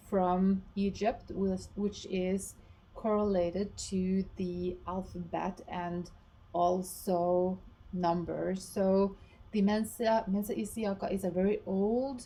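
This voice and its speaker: In a Norwegian accent, a woman with a medium pitch and a dark, mellow tone talks at a very slow pace with monotone, flat intonation. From Norway. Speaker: esoteric teacher and researcher. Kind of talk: explanatory talk to camera. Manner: halting, with many fillers and restarts.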